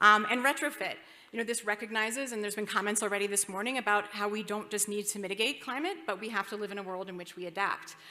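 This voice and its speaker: With music in the background, a woman speaks at a very fast pace and with fairly even intonation. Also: medium pitch for a woman. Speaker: investment banker, conference speaker. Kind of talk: conference presentation.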